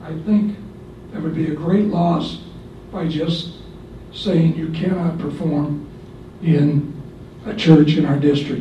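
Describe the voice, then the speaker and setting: Through audible room echo and noticeable background noise, a man with a fairly high pitch speaks very slowly with fairly even intonation and long, frequent pauses. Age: 70s. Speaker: retired music teacher. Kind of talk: public comment at school board meeting. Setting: board meeting. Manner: unscripted, somewhat halting.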